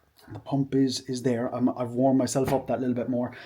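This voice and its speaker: With an Irish accent, a man speaks at a very fast pace in a dark, mellow tone. His medium-pitched delivery is monotone and flat. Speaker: fitness vlogger and bodybuilder. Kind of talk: casual vlog talk to camera.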